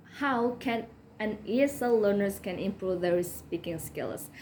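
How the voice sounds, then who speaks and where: A woman speaks with a non-native accent at a fairly slow pace. Her fairly high voice carries lively intonation. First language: not English. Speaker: English learner, student. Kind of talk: educational talk to camera. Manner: halting, many fillers.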